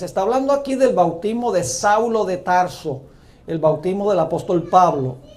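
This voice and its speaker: Lively intonation carries a man's high-pitched voice. Room echo is audible. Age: 60s. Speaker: pastor. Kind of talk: sermon.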